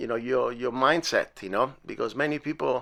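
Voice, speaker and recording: On a very clean recording with a silent background, a man with an Italian accent speaks in a bright, sharp tone. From Italy. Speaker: podcast host and musician. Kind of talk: casual interview. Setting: home studio in bedroom. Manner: halting, many fillers.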